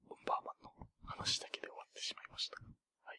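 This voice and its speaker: A man is whispering at a moderate pace. The sound is dry and close, with no echo. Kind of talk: ASMR whispered chat; casual chat about New Year's temple visits. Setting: binaural stereo microphone recording. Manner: whispered, soft-spoken.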